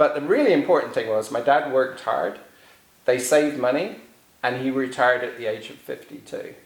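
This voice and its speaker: Amid audible room echo, a man talks at a fairly quick pace in a medium pitch with ordinary pitch variation. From England. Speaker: author. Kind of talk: interview. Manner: halting.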